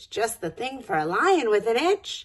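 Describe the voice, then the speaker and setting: In a put-on character voice, a woman pitches high and swings her pitch very widely while keeping a moderate pace. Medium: read story.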